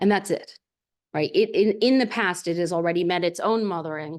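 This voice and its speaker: Over a quiet background, a woman speaks at a fairly quick pace in a fairly low voice with ordinary pitch variation. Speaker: historian and seminar presenter. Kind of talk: lecture. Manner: fast.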